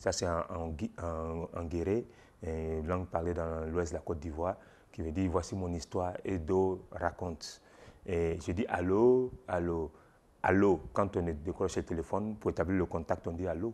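A man speaks at a very deep, low pitch in a dark, mellow tone. His pace is fairly slow and his intonation fairly even. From Ivory Coast. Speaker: storyteller. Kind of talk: interview answer. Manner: hesitant. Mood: warm, smiling, animated. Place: shop. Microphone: lapel.

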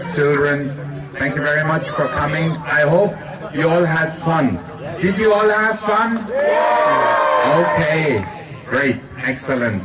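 Through loud background noise, a man speaks very slowly with long, frequent pauses. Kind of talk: ceremony speech. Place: stadium.

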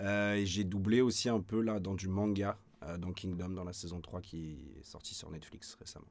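Talking at a moderate pace in a fairly low pitch, a man keeps his intonation fairly even while his loudness swings widely. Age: 20s. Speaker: voice actor. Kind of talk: interview. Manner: hesitant, many fillers. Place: studio.

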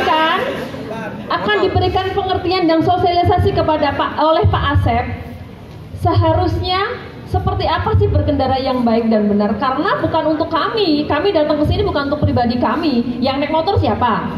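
There is audible room echo and noticeable background noise around a woman's voice. She sounds high-pitched, with lively intonation. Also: fairly quick pace. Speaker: police officer giving road safety talk. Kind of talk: school outreach talk to students. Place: hall. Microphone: handheld.

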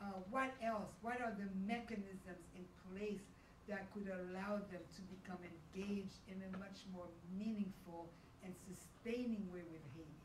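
A woman with a medium pitch speaks at a fairly slow pace and fairly even intonation, with audible room echo and light background noise. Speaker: event moderator. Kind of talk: panel moderation. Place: hall.

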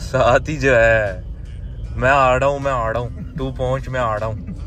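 Faint music sits in the background while a man speaks at a moderate pace, the sound dry with no echo. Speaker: vlogger driving. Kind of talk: casual vlog chat. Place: car. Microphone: phone near.

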